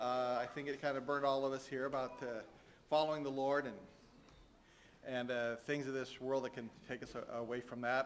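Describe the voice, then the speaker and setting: The speech is fairly quick, with monotone, flat intonation and long, frequent pauses. Room echo is audible. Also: man, medium pitch for a man. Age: 60s. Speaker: church leader giving announcements. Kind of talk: church announcements. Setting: church. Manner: halting, many fillers.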